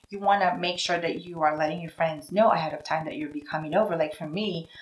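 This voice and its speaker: With a Filipino accent, a woman speaks at a very fast pace, her fairly low pitch held in fairly even intonation while her loudness swings widely. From Philippines. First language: Tagalog. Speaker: vlogger. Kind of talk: casual vlog talk to camera. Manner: conversational, acts out voices.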